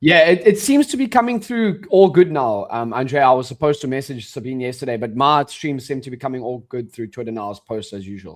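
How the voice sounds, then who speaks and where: The speaker has a South African accent and talks at a fairly quick pace with hardly any pauses. The intonation is lively and the loudness swings widely. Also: man, medium pitch for a man, very clean recording, silent background. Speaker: day trader and stream co-host. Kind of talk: casual chat on live trading stream. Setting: live stream.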